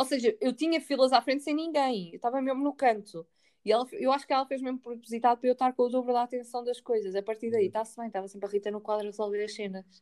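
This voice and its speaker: A woman's high voice at a very fast pace, with hardly any pauses, ordinary pitch variation, and a dry, close sound with no echo. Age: 20s. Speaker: podcast co-host. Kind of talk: casual chat.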